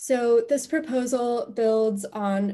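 Against a quiet background, a woman's somewhat breathy voice has a dark, mellow tone. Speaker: presenter. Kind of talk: presentation. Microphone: video call.

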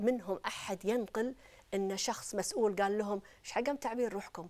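Here is a plain, everyday voice from a woman at medium pitch. She talks at a moderate pace with ordinary pitch variation. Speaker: academic researcher. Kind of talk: TV panel interview. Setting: TV studio.

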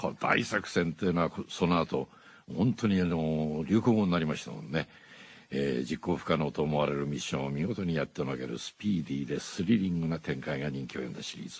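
This man's pitch is very deep and low, with ordinary pitch variation. He talks at a fairly quick pace. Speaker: voice actor. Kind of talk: radio DJ music show. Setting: studio. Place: studio. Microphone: studio mic.

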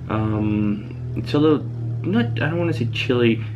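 Music plays in the background as a man talks at a moderate pace, his pitch fairly low and his intonation fairly even. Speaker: cyclist vlogger. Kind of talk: casual vlog chat. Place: home room. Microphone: phone near.

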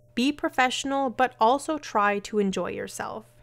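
A woman talks at a moderate pace in an unremarkable speaking voice with ordinary pitch variation. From Canada. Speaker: romance author and educator. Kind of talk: scripted educational talk.

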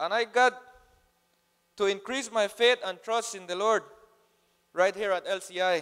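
Against a quiet background, a man speaks with a high pitch and fairly even intonation. His pace is fairly slow, broken by long, frequent pauses. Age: 20s. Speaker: program graduate. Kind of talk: testimony read from notes. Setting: church stage with audience. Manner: halting. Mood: earnest, somewhat nervous, light humor. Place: church. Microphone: handheld.

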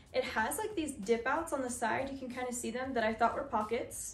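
A woman talks at a moderate pace in a high voice with ordinary pitch variation, with audible room echo and light background noise. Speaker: fashion vlogger. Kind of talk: casual try-on haul chat. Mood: upbeat, chatty. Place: home room. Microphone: camera far.

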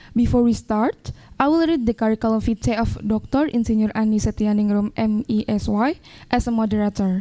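A woman's dark, mellow, fairly high-pitched voice in an Indonesian accent, at a moderate pace with ordinary pitch variation and very even loudness, against a quiet background. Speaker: event MC. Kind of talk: formal event hosting. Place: studio. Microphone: handheld.

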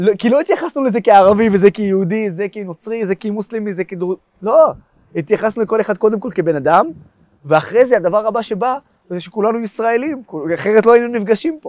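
Against a quiet background, a man speaks at a moderate pace in a high voice. The sound is dry with no echo, and his pitch varies in an ordinary way. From Israel. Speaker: pro-Israel activist and blogger; interviewee, blogger. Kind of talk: interview. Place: garden. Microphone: lapel.

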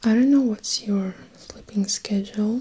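A soft-spoken woman at a moderate pace, with fairly even intonation. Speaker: advice vlogger. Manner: very soft, close-mic ASMR voice. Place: home room.

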